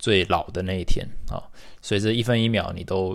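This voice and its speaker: The recording is very clean, with a silent background. A man speaks in a fairly low pitch. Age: 30s. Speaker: podcast host. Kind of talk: solo monologue podcast.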